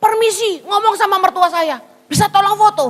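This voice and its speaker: A woman speaks in a raised, projected voice with a Javanese accent. Her delivery is animated, with a bright, sharp tone. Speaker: pastor. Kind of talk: sermon.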